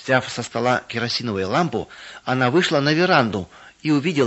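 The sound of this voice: Delivered in an unforced reading voice, the words carry lively intonation.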